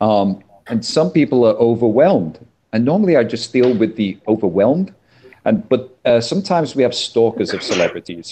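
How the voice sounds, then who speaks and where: At a fairly quick pace, a man with a medium pitch speaks in very wide pitch swings. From England, Liverpool. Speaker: convention staff manager. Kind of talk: casual chat. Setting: video call.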